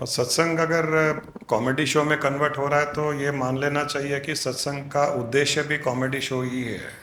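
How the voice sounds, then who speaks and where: Noticeable background noise and audible room echo surround a man whose fairly high voice runs with fairly even intonation and hardly any pauses. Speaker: spiritual guru. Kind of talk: satsang discourse.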